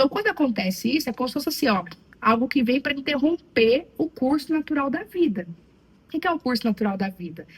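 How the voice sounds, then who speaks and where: A woman speaks with a slight Minas Gerais accent and lively intonation. Noticeable background noise runs under her voice. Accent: slight Minas Gerais (mineiro). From Brazil, Minas Gerais. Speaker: psychologist. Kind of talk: interview.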